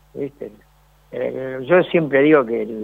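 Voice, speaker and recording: At a fairly slow pace, a man talks with a Rioplatense accent. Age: 60s. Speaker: former footballer. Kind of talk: interview.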